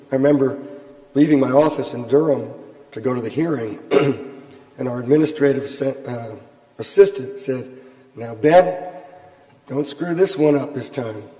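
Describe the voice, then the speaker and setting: A man's fairly high voice at a moderate pace, with long, frequent pauses, ordinary pitch variation, big swings in loudness, audible room echo and noticeable background noise. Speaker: appellate defense lawyer. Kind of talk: panel discussion. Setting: courtroom panel with audience.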